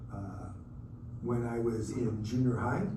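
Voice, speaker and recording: A man with an American accent speaks at a medium pitch, with audible room echo around him. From US Pacific Northwest (Redmond, Washington). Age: 60s. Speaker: sports photographer. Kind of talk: motivational talk to students. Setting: luncheon speech to audience. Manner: halting, frequent uh fillers.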